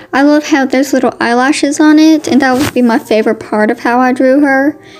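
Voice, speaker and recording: With music in the background, a woman speaks at a high pitch and a moderate pace, her intonation fairly even. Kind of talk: casual voiceover narration of a drawing video. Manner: chatty, informal.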